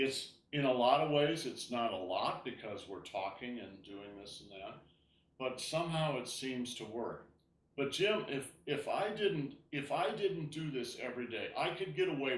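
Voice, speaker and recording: A man speaks fairly slowly in a fairly high pitch, with lively intonation and big swings in loudness. Audible room echo surrounds his voice. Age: 70s. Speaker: tai chi teacher. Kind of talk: class instruction chat. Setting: video call. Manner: halting.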